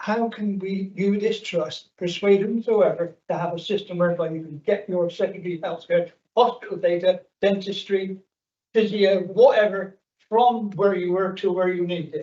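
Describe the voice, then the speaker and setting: A man's high, dark, mellow voice at a moderate pace, with fairly even intonation. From South West England, near Bristol. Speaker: audience member asking a question. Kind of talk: public question at a meeting. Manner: halting.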